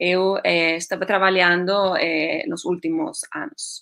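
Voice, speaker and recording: The pace is fairly slow. This woman talks in a Spanish accent. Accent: Spanish-accented Portuguese, portunhol. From Spain. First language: Spanish (speaking Portuguese). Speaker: astronomer, science outreach project leader. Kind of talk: online presentation. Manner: hesitant, many fillers.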